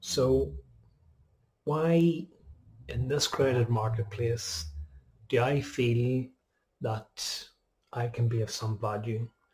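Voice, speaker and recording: Somewhat breathy and very slow, a man speaks at a medium pitch with lively intonation and long, frequent pauses. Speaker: spiritual podcaster. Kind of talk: casual monologue. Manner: halting, with fillers.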